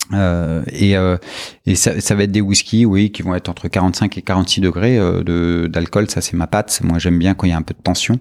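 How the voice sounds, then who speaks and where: In a very clean recording with a silent background, a man talks in a very deep, low voice with fairly even intonation. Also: moderate pace, big swings in loudness. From France, partly Brittany (Brest). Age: 40s. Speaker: whisky producer. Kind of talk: interview. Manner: hesitant, with many fillers and repetitions.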